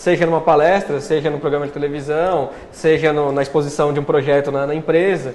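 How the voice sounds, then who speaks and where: A man with a fairly high pitch speaks at a fairly quick pace in a monotone, flat intonation, with hardly any pauses and audible room echo. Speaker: journalist and public speaking coach. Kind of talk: interview. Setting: live TV studio. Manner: steady, continuous.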